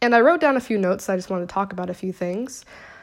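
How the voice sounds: Fast and lively in intonation, a speaker with an American accent comes through on a very clean recording with a silent background. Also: woman, medium pitch for a woman.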